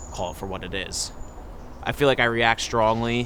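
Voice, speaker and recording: A man with an American accent speaks at a moderate pace and medium pitch in a monotone, flat intonation. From New Jersey, Ocean Township. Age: 20s. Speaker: interviewee answering a personal question. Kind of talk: personal reflective monologue.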